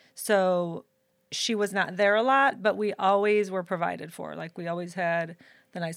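A woman with an American accent uses an ordinary speaking voice at medium pitch and a fairly slow pace. Her intonation is fairly even, and the recording is very clean with a silent background. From Saint Louis, Missouri. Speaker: hairdresser and educator. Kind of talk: casual chat. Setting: live stream.

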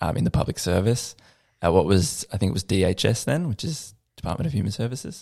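Over a silent background in a very clean recording, a man speaks very fast with an Australian accent. His fairly low voice has a dark, mellow tone, lively intonation and vocal fry. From Australia, Lilydale in the Yarra Valley, Victoria. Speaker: musician. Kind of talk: casual chat.

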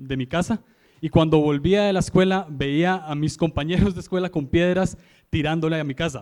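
A man's high voice moves through ordinary pitch variation as he talks. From Costa Rica, San José. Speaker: guest preacher. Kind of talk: sermon.

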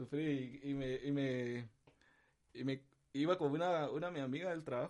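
Using an ordinary speaking voice, a man talks at a moderate pace, fairly high in pitch, with fairly even intonation. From Guatemala (capital, childhood in San Marcos). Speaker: musician. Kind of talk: casual chat.

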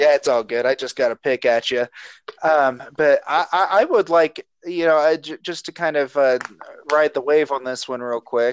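A man with an American accent speaks in a normal speaking voice, fairly high in pitch, at a moderate pace. His pitch varies in an ordinary way, and the sound is dry and close with no echo. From southern Ohio (Chillicothe). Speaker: podcast host. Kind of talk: casual chat.

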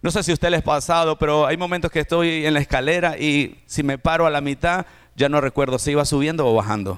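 A man's animated, fairly high voice at a very fast pace, with ordinary pitch variation and very even loudness. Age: 40s. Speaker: pastor. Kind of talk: sermon.

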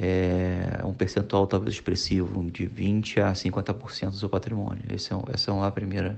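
A man speaks at a moderate pace in a fairly low pitch. It's a plain, everyday voice. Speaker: financially independent retiree. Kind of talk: recorded voice message.

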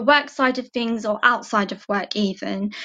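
A woman speaks in an East London accent at a fairly slow pace. Her intonation is fairly even, and the background is quiet. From England, East London (Barking and Dagenham). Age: 20s. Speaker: admin receptionist, former apprentice. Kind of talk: interview.

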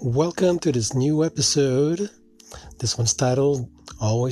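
A man speaks at a moderate pace in a medium-pitched, somewhat breathy voice with a dark, mellow tone and ordinary pitch variation. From Philippines. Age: 50s. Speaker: podcast host. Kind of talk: monologue. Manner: casual, hesitant with fillers.

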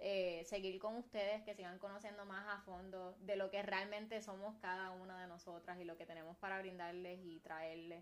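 A woman with a Puerto Rican accent speaks at a moderate pace and a medium pitch, in an animated tone. She leaves hardly any pauses. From Puerto Rico, Carolina. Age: 20s. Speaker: podcast co-host. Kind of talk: casual chat. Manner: animated, laughing often.

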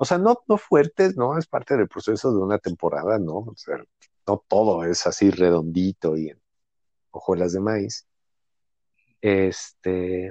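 In a Mexico City accent, the speaker talks at a fairly slow pace with ordinary pitch variation, big swings in loudness, and long, frequent pauses. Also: man, fairly low pitch for a man. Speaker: actor and writer. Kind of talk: casual chat.

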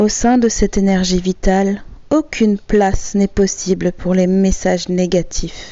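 A woman talks at a very slow pace in a medium pitch. Her pitch varies in an ordinary way. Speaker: hypnotherapist. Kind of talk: guided hypnosis session. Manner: soft-spoken.

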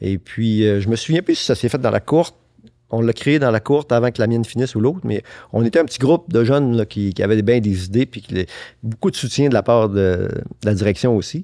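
This man has a medium pitch, a dark, mellow tone and ordinary pitch variation. The very clean recording has a silent background and a dry, close sound with no echo. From Quebec, Saguenay (Arvida). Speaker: businessman and collector. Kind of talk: casual interview.

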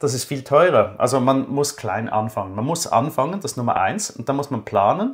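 This man's voice is fairly high-pitched and somewhat breathy, with lively intonation at a fairly quick pace. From Switzerland. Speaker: finance blogger, former banker. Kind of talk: interview.

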